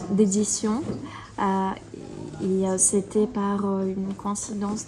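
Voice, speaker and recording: Her voice sits at a medium pitch. This woman talks at a moderate pace. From Belarus, Minsk. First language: Russian (speaking French). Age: 30s. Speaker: illustrator and author. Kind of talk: interview. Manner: hesitant, many filler sounds.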